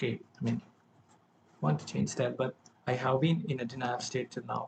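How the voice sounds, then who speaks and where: This man's pitch sits in the medium range, with vocal fry. He moves at a moderate pace with lively intonation. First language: not English. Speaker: self-improvement vlogger. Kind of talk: personal vlog monologue. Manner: halting, with self-corrections.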